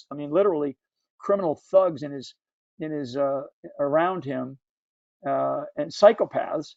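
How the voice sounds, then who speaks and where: With an American accent, this voice moves along at a moderate pace. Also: man. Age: 60s. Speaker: book club discussion leader. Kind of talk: book club discussion. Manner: halting, many repetitions.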